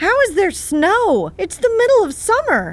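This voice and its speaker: In a squeaky, put-on character voice pitched extremely high, a woman talks at a moderate pace with very wide swings in pitch. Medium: actual play. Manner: dry, deadpan.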